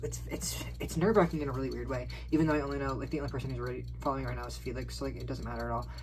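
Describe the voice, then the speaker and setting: The speech moves at a very fast pace. Noticeable background noise can be heard. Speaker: vlogger. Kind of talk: casual vlog monologue. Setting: on a call while recording. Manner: quiet; halting, many fillers.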